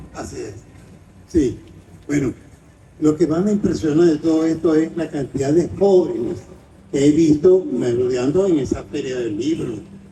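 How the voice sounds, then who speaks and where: With a dark, mellow tone and fairly high pitch, a man speaks at a moderate pace broken by long, frequent pauses. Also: ordinary pitch variation. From Venezuela, Caracas. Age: 90s. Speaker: writer and film critic. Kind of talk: interview.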